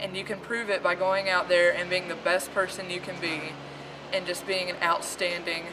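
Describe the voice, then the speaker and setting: A woman's monotone, flat intonation carries at a moderate pace, with noticeable background noise behind her. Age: 20s. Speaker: college student. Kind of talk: testimonial video message.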